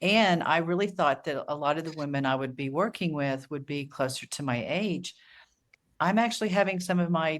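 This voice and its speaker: In a very clean recording with a silent background, a woman with a very deep, low pitch speaks with lively intonation. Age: 60s. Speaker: author and coach. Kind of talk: casual chat.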